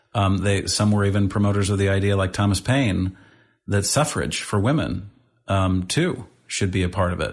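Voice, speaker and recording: A somewhat breathy man with an American accent, fairly low in pitch, at a moderate pace over a quiet background. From St. Louis, Missouri. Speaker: nonprofit founder and CEO. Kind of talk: interview conversation.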